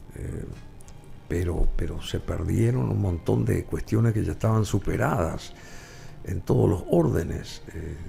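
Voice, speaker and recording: Music plays behind a man who speaks at a fairly slow pace. His very deep, low voice swings very widely in pitch. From Paraguay, Asunción. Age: 70s. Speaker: talk show host. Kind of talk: interview.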